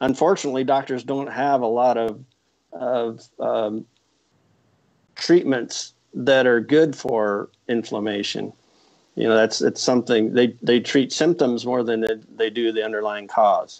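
Against a quiet background, a man with an American accent speaks with fairly even intonation. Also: fairly slow pace. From Iowa. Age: 60s. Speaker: retired veterinary epidemiologist; guest. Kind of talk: interview. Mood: calm explanatory. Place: home room. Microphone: earbuds.

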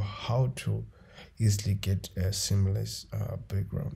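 A man with a fairly low voice speaks in a dark, mellow tone that is somewhat breathy. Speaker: photo editing tutor. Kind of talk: tutorial.

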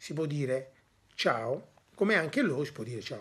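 A man speaking at a fairly slow pace. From Italy. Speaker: Italian teacher and father; Italian teacher. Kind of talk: language lesson. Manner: hesitant, with many fillers. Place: home room. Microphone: phone near.

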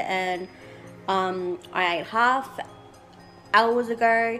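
The voice has ordinary pitch variation, with faint music playing in the background. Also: woman. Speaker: vlogger. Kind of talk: casual vlog chat. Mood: relaxed, slightly anxious. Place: home room. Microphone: phone near.

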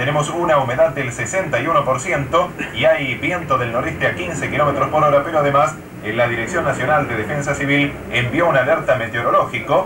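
With noticeable background noise, a man talks at a fairly quick pace and a fairly high pitch, using ordinary pitch variation. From Argentina. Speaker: radio news announcer. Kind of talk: radio news bulletin. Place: studio.

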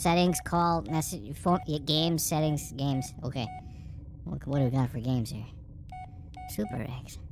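Someone doing a put-on character voice at a low-to-middle pitch talks at a moderate pace with long, frequent pauses, and background noise is clearly audible. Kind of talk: casual let's-play commentary. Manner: easygoing, reactive.

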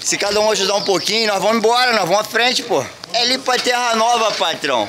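Noticeable background noise runs through the clip. Over it, a man talks in a raised, projected voice. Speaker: street vlogger collecting donations. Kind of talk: casual vlog chat. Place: street. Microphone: phone near.

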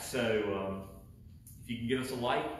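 Light background noise can be heard. There is audible room echo. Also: man. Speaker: pastor. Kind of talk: welcome announcements before sermon. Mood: warm, chatty. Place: church. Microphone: camera far.

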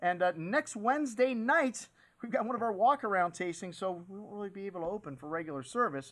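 Over a quiet background, a man talks at a fairly quick pace with very wide pitch swings. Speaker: wine shop host. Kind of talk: promotional presenter talk. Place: studio.

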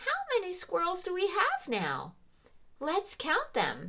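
This is a cartoonish character voice that sounds female and is high in pitch. Its tone is warm. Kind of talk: preschool teacher talk. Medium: puppet show. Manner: warm, bright, encouraging, slow and clear; playfully surprised.

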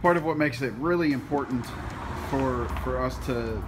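A man is speaking. Music plays in the background. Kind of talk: casual explanatory talk to camera. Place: garage. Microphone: phone near.

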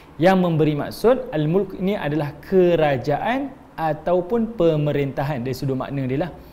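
A man with a fairly high pitch speaks in a normal speaking voice at a moderate pace, with lively intonation and hardly any pauses. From Malaysia. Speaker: Islamic religious teacher; religious teacher. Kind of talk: religious lecture. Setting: online class streamed on Facebook. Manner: conversational with frequent fillers. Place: empty room.

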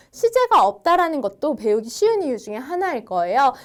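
A woman with a high voice swings her pitch very widely. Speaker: language instructor. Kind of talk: lecture. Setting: online video lesson. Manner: friendly, explanatory.

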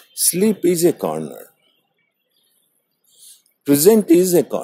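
The recording is dry and close, without echo. A man talks at a very slow pace. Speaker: wisdom channel host, meditation walk monologist. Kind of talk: reflective philosophical monologue. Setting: outdoors, recorded on a morning walk. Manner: slow, contemplative.

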